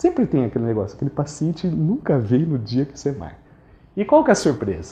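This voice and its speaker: A man's dark, mellow voice with very wide pitch swings at a moderate pace. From interior of Brazil. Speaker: dental surgeon. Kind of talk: lecture.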